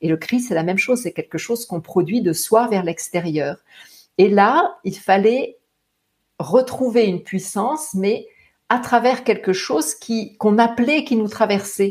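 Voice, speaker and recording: Somewhat breathy and fairly high in pitch, this woman's voice has lively intonation. She speaks at a fairly slow pace. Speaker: singer and voice teacher. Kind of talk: interview. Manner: halting.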